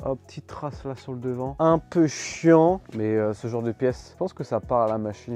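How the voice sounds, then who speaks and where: Music plays in the background as a man talks at a fairly quick pace in an animated tone with ordinary pitch variation. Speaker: reseller vlogger. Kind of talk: casual vlog unboxing. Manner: casual, animated.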